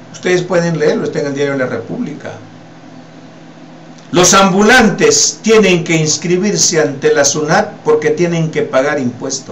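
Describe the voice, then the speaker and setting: With audible room echo and noticeable background noise, a man talks fairly slowly in a high pitch, his intonation lively. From Peru. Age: 60s. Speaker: political commentator. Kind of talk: political commentary. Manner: animated.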